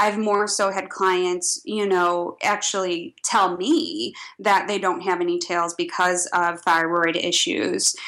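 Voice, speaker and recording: In a very clean recording with a silent background, a woman with a slight Midwestern accent speaks at a very slow pace with hardly any pauses, a bright, sharp tone, a medium pitch and ordinary pitch variation. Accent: slight Midwest. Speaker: esthetician and brow artist. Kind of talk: casual interview.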